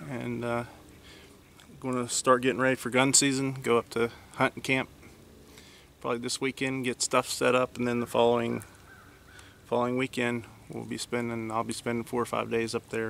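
A man with an American accent, monotone and flat in intonation, at a moderate pace with long, frequent pauses, in a dry sound with no echo over light background noise. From West Virginia. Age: 40s. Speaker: deer hunter video blogger. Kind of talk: outdoor hunting vlog narration. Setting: outdoors in the woods. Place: forest. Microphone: phone near.

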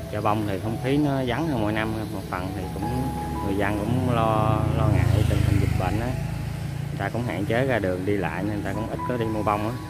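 Music plays in the background as a man talks at a very fast pace with ordinary pitch variation, in a dry sound with no echo. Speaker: vlogger. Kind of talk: casual vlog chat. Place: market. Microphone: phone near.

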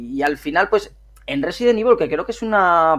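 This man speaks at a fairly quick pace with lively intonation, in an ordinary speaking voice. The recording is very clean, with a silent background. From northern Spain, Miranda de Ebro (Burgos). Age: 30s. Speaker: gaming youtuber. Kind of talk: casual interview chat.

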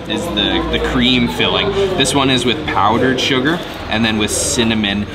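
Loud background noise sits behind a man speaking. His pace is moderate and his pitch varies in an ordinary way. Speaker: food vlogger. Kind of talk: casual vlog chat. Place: cafe.

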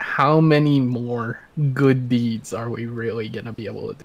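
A man speaks at a moderate pace in a medium pitch. His pitch moves very little.

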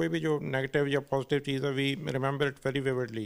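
A man with a fairly high pitch at a moderate pace, over a quiet background. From Chandigarh, India; India. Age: 50s. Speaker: road safety activist, wheelchair user; interviewee. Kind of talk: interview. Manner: frequent switching between Hindi and English. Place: office.

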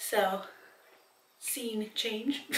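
The intonation stays fairly even, and room echo is audible. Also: woman. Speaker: vlogger. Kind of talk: casual vlog chat. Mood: relaxed, a bit giggly. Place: bathroom. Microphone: camera far.

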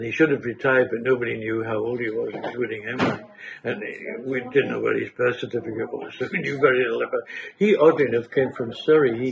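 A man talks at a very fast pace. Noticeable background noise is audible behind him. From North East England, North Shields / Cullercoats. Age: 80s. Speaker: local resident sharing memories. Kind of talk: oral history interview. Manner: conversational, with hesitations.

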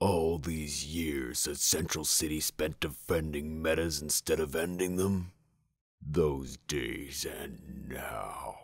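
Very slowly, a man speaks in a put-on character voice. His pitch is very deep and low. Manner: menacing.

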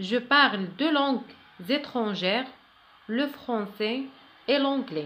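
A woman's high, bright, sharp voice with lively intonation, a very slow pace and long, frequent pauses. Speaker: French teacher. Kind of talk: tutorial.

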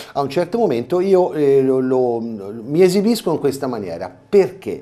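A man is speaking here. His pitch swings very widely. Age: 50s. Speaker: carnival mask performer and theatre director; TV guest. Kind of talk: interview. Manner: halting. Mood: earnest, explaining. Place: studio. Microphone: lapel.

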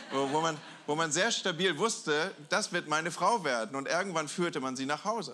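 With light background noise behind him, a man speaks at a moderate pace in a fairly high pitch, with a bright, sharp tone and ordinary pitch variation. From Germany, Hamburg; Germany. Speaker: guest pastor; preacher. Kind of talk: sermon. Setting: church with audience. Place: church. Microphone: handheld.

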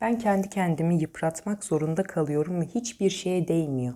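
A woman speaks in a dark, mellow tone. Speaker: fortune teller. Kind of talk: coffee cup reading monologue. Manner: hesitant fillers.

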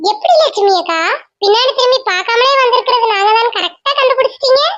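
A woman performs a squeaky, cartoonish character voice. Her pitch is extremely high, with ordinary pitch variation. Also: moderate pace. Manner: chatty, curious.

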